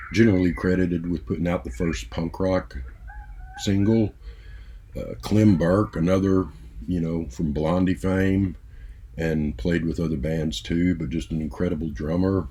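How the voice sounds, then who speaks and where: At a moderate pace, a man speaks with a very deep, low pitch and ordinary pitch variation. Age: 60s. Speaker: music vlogger. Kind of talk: casual monologue. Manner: halting, many fillers.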